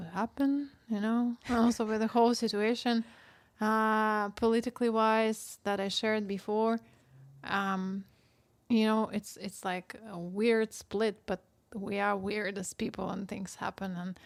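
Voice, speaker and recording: Her recording is very clean, with a silent background. The woman's voice sits fairly high in pitch, with monotone, flat intonation. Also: fairly slow pace. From Russia. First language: Russian. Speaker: podcast co-host. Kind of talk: casual chat.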